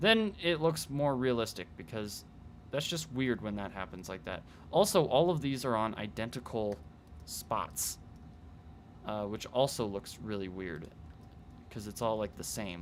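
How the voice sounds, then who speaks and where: The man's medium-pitched voice has lively intonation and moves at a fairly slow pace, broken by long, frequent pauses. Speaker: 3D art livestreamer. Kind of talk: live stream tutorial commentary. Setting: livestream. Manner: casual, hesitant with many fillers.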